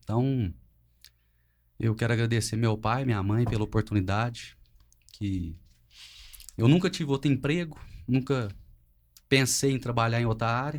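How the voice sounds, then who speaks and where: A man's medium-pitched voice moves at a moderate pace, with ordinary pitch variation and long, frequent pauses, on a very clean recording against a silent background. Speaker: family business manager. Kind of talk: family podcast conversation.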